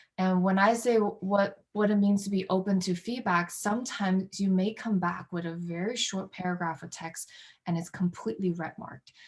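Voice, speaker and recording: The woman's voice is somewhat breathy, with a medium pitch. She keeps a moderate pace and fairly even intonation. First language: not English. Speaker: workshop presenter. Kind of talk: workshop presentation. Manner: hesitant, many fillers.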